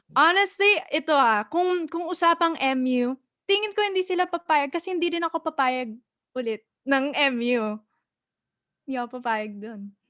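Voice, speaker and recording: In a raised, projected voice with an American accent, the speaker moves at a fairly quick pace with long, frequent pauses, very wide pitch swings, and a bright, sharp tone, in a dry, close sound with no echo on a very clean recording with a silent background. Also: woman, high pitch for a woman. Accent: American with Filipino heritage. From United States. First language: Tagalog. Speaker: singer. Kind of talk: interview.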